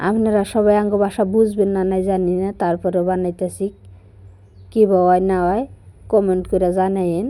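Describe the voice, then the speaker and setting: A woman talks at a medium pitch in a dark, mellow tone. Her intonation is monotone and flat. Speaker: vlogger. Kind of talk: cooking vlog narration. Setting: at home. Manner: casual, halting.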